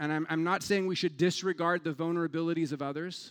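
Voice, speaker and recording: Against a quiet background, a man with a fairly high voice talks at a very fast pace. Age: 40s. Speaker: pastor. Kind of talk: sermon. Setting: church.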